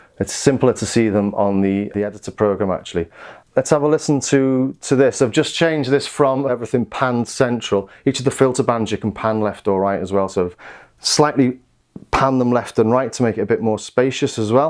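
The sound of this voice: Pitched at a medium level, a man talks at a moderate pace with ordinary pitch variation.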